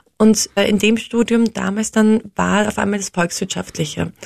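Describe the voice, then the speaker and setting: A woman with a somewhat breathy, medium-pitched voice talks at a moderate pace. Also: dry, close sound with no echo. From Austria. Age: 30s. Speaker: social entrepreneur, founder of a tour company. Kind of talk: interview.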